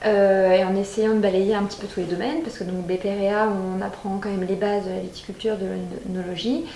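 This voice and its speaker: A woman of medium pitch speaks fairly quickly with fairly even intonation, with audible room echo and noticeable background noise. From Champagne, France. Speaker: winegrower. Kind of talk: interview testimony. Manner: hesitant, many fillers.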